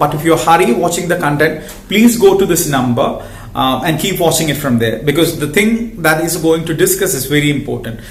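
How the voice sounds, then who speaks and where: A man talks at a fairly quick pace and high pitch. Noticeable background noise and audible room echo fill the recording. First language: not English. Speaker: health educator and social worker. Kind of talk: educational talk to camera. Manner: halting.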